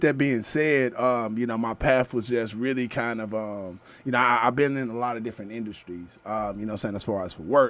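A man with a plain, everyday voice and an American accent speaks at medium pitch and a moderate pace, with ordinary pitch variation and big swings in loudness. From Texas, Houston south side. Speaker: community activist and media founder. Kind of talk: casual interview chat.

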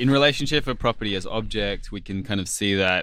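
Over a silent background on a very clean recording, a man with an Australian accent talks at a fairly quick pace in a bright, sharp tone. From Australia, Sydney and Alice Springs. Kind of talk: academic discussion.

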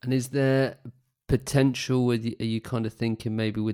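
In a British accent, a man speaks at a moderate pace with a dark, mellow tone and monotone, flat intonation, the sound dry and close with no echo. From UK. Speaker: podcast host. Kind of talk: casual interview.

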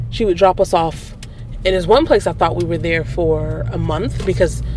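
Over noticeable background noise and audible room echo, a woman speaks at a fairly quick pace in an American accent. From Milwaukee, US Midwest. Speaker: artist. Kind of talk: casual chat. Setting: in a car.

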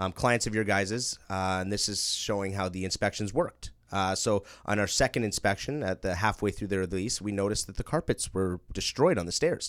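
In an ordinary speaking voice, a man with a Canadian accent talks at a fairly quick pace with hardly any pauses and ordinary pitch variation on a very clean recording with a silent background. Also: fairly low pitch for a man. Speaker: property management company owner. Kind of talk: casual interview.

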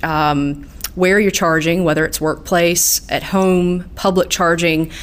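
In a Southern US accent, the speaker talks at a fairly slow pace with monotone, flat intonation. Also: woman. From southeast Georgia. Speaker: utility market specialist. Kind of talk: interview.

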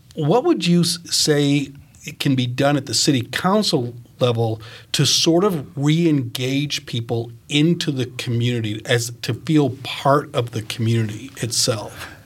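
At a fairly slow pace, a somewhat breathy man speaks at medium pitch with ordinary pitch variation. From Maine. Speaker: retired teacher, co-interviewer. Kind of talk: interview.

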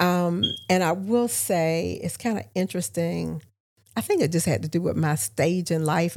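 A woman speaks at a moderate pace with an American accent in a plain, everyday voice. Her pitch is fairly low and her intonation lively. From Augusta, Georgia (US South). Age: 60s. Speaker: local government consultant and podcast host. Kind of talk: casual interview conversation. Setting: studio.

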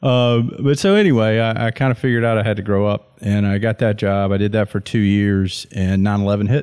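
With a Southern US accent, a man with a fairly low pitch speaks at a fairly quick pace, with hardly any pauses, very even loudness, and fairly even intonation, on a very clean recording with a silent background. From US Deep South. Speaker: Marine officer. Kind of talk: casual chat.

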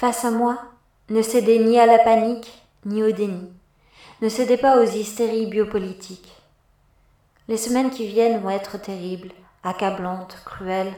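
A woman's fairly high yet dark, mellow voice in a solemn tone, monotone and flat, at a fairly slow pace with long, frequent pauses. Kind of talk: dramatic monologue in the voice of a virus, read aloud in French. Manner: solemn, declamatory, accusing, measured.

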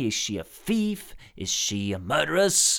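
Extremely slowly, a man talks as his pitch jumps dramatically high and low. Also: very clean recording, silent background. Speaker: podcast co-host presenting trivia. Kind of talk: prepared trivia segment. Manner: halting.

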